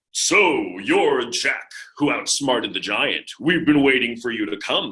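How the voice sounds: Putting on a character voice, a man speaks fairly slowly at a fairly high pitch.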